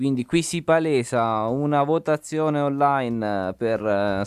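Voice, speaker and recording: The man's voice is fairly high in pitch, and the sound is dry and close with no echo. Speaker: podcast host. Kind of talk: casual chat. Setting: video call.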